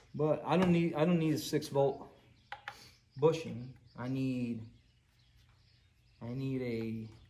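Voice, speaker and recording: A man with a Puerto Rican accent at a very slow pace, with long, frequent pauses, ordinary pitch variation and audible room echo. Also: medium pitch for a man. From Puerto Rico. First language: Spanish. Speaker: VW mechanic and YouTuber. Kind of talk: casual workshop vlog. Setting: garage workshop. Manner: halting, many fillers and repeats.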